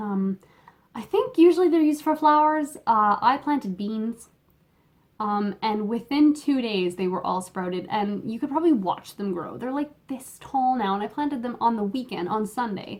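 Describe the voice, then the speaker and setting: Speaking in a Canadian accent, a woman uses lively intonation at a fairly high pitch for a woman. Her pace is moderate. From Canada. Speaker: knitting podcaster. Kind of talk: casual chat. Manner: halting, many fillers. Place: home room. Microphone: phone near.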